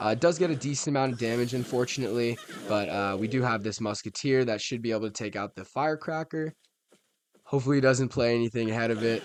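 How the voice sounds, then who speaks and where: Very rapid speech from a man, mid-range in pitch and with normal pitch movement. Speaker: gaming YouTuber. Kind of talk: live gameplay commentary. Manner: animated.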